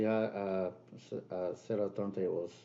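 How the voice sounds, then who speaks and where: A man with a Spanish accent, a dark, mellow tone and fairly even intonation. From Peru. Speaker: DJ and music producer. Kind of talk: casual interview.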